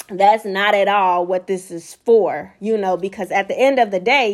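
At a fairly slow pace with ordinary pitch variation, an ordinary speaking voice comes through on a very clean recording with a silent background. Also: woman. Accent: American. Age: 20s. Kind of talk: devotional teaching monologue.

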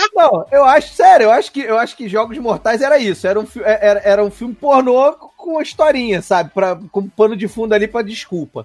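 The delivery is fairly quick, with lively intonation and hardly any pauses. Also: man, extremely high pitch for a man. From Brazil, Petrópolis (Rio de Janeiro state). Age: 30s. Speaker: radio host and podcast guest. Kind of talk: casual chat.

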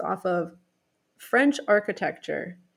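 The recording of a woman speaking is very clean, with a silent background. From US, rural Pennsylvania. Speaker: travel guest, former Philadelphia resident. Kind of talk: casual interview.

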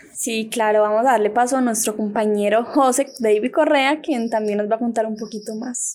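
A woman's plain, everyday voice, fairly high in pitch, at a moderate pace with fairly even intonation and hardly any pauses. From Valdivia, Antioquia, Colombia. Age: 20s. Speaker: trainee radio announcer. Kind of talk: casual interview.

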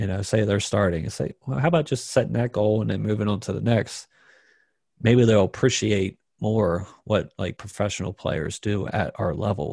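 A fairly low-pitched man with an American accent speaks at a moderate pace, with vocal fry and ordinary pitch variation. The recording is very clean, with a silent background. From Maryland, US. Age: 30s. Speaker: professional pool player. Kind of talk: interview.

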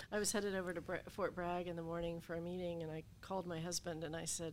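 Speaking with an American accent, a woman uses a fairly low pitch. Her intonation stays monotone and flat. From Appalachia, Southern Ohio. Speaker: lawyer and former veterans' appeals board chair. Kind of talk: interview.

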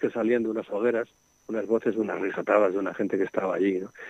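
A man with a Madrid accent at a very fast pace, fairly even in intonation, in a dry, close sound with no echo. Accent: Castilian Spanish (Madrid). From Madrid, Spain. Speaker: nature sound recordist and author. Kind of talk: radio interview.

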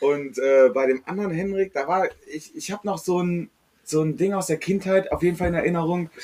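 Fairly quick male speech, high in pitch, its pitch variation ordinary. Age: 20s. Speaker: podcast guest. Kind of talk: casual chat.

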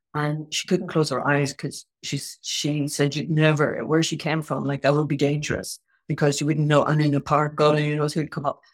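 On a very clean recording with a silent background, a woman with an Irish accent speaks fairly quickly in a very deep, low pitch with monotone, flat intonation. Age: 60s. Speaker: tai chi and qigong teacher. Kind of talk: casual chat.

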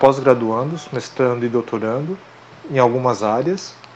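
Noticeable background noise accompanies a man speaking at a medium pitch with ordinary pitch variation. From Brazil. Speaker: podcast guest. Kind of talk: casual chat.

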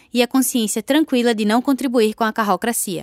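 Speaking at a fairly quick pace, a woman with a high pitch and an animated tone comes through dry and close with no echo, on a very clean recording with a silent background. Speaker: radio host. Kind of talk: scripted radio narration.

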